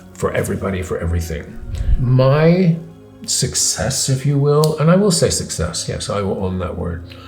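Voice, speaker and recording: Over music in the background, a man talks at a moderate pace. His medium-pitched voice swings very widely in pitch. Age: 60s. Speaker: philosopher and teacher. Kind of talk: interview answer.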